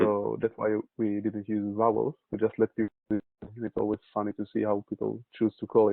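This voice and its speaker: A man with an Israeli accent speaks at a moderate pace in a fairly low pitch, his intonation flat and monotone, with hardly any pauses. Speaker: urban planning consultant. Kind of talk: webinar presentation.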